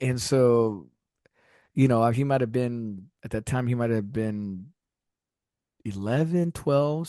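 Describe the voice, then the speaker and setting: Against a quiet background, a man's dark, mellow voice holds a medium pitch with ordinary pitch variation. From US South, Texas (McAllen border town). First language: Spanish. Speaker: musician. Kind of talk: casual interview chat.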